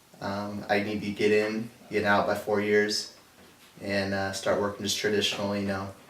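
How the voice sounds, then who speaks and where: Amid noticeable background noise and audible room echo, a man with a fairly low pitch and an American accent speaks at a moderate pace in a monotone, flat voice. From Napa Valley, California. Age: 20s. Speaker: college student. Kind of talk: interview.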